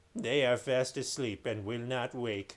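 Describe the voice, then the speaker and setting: Talking at a fairly slow pace, a man puts on a character voice at medium pitch. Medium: read story.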